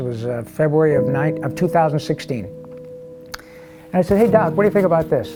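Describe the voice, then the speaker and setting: A man speaks over background music. His pitch swings very widely. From Michigan, US. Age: 60s. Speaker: voice actor. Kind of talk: interview answer. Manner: casual, upbeat.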